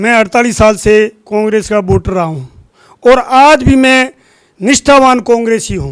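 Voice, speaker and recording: The voice is a man's, pitched high. Its pitch moves in an ordinary way. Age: 60s. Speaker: local trader and farmer, party supporter. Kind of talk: interview.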